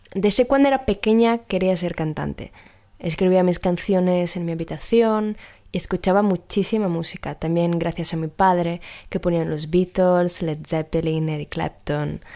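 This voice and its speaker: A woman with an Italian accent, fairly low in pitch, dark and mellow in tone, with ordinary pitch variation at a moderate pace. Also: very clean recording, silent background. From Sardinia, Italy. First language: Italian (speaking Spanish). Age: 20s. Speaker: singer and actress. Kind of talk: recorded voice message.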